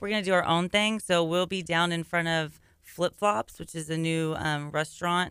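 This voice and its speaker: A woman speaks in a plain, everyday voice, fairly low in pitch. Her pace is moderate and her intonation fairly even. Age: 30s. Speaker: women's service club member. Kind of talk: radio interview. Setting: studio.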